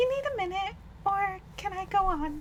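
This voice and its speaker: A woman puts on a squeaky character voice with an extremely high pitch and lively intonation. She speaks at a moderate pace over clear background noise. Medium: virtual streamer. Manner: theatrical, smug.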